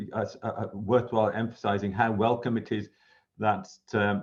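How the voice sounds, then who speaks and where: A man speaks with a Birmingham accent in a fairly low voice, his intonation monotone and flat. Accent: Brummie. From Birmingham, England. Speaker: university professor. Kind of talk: conversational interview. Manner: halting, repeats words.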